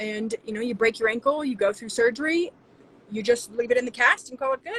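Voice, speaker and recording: Her voice is high in pitch, with ordinary pitch variation and big swings in loudness at a fairly quick pace. The woman's recording is dry and close, with no echo. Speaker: naturopathic doctor. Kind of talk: interview. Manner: fast.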